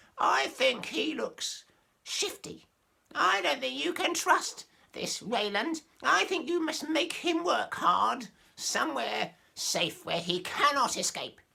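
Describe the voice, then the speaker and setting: At a fairly slow pace, a man puts on a character voice pitched extremely high. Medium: read story. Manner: suspicious.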